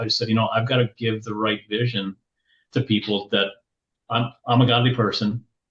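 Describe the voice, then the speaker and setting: A man's somewhat breathy voice. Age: 60s. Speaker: business leadership coach. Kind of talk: podcast interview. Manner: halting, many repeated words.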